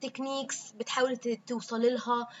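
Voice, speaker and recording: The woman's voice sits at a high pitch. She talks at a moderate pace. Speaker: podcast host. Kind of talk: podcast monologue. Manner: casual, with frequent fillers.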